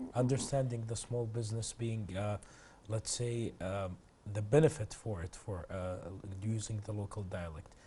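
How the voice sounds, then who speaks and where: A man's fairly low voice comes across somewhat breathy, with a dark, mellow tone. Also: ordinary pitch variation, moderate pace, quiet background. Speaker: TV host. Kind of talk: TV interview.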